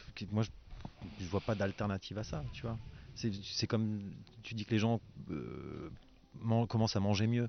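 The man's pitch is fairly low, and his intonation fairly even. He keeps a moderate pace with long, frequent pauses. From Alsace. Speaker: winemaker. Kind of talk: casual chat. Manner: halting, repeats words.

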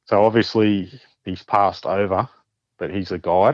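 With an Australian accent, a man speaks at a fairly low pitch with fairly even intonation, in a dry, close sound with no echo. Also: quiet background. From New South Wales, Australia. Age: 40s. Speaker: paranormal experiencer. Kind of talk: casual interview storytelling.

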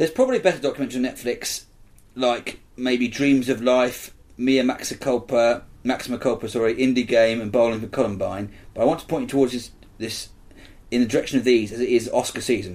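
Speaking at a medium pitch, a man uses an ordinary speaking voice. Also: fairly even intonation, fairly quick pace. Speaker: film podcast co-host. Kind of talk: casual chat.

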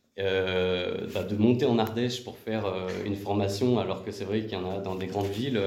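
A man at a moderate pace with ordinary pitch variation, with audible room echo. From southeastern France, Valence area (Drôme). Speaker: career changer, web development graduate. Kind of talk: interview testimony. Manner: hesitant, with many fillers.

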